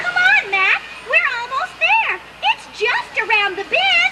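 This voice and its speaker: A female-sounding voice performs a squeaky, put-on character voice at an extremely high pitch. It moves at a fairly slow pace over light background noise. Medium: read story. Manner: fussy, warm.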